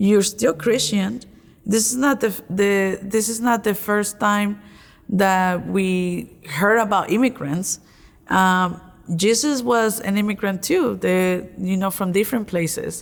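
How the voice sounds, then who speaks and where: A woman of medium pitch at a very slow pace, with ordinary pitch variation, on a very clean recording with a silent background. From Mexico. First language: Spanish. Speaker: college graduate and lay religious associate. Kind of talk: interview. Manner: halting.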